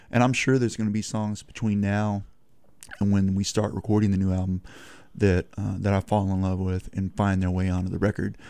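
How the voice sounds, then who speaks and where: In a very clean recording with a silent background, a man with a Texan accent speaks fairly quickly in a fairly low, dark, mellow voice with monotone, flat intonation. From Texas. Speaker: singer-songwriter. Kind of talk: radio interview. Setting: studio.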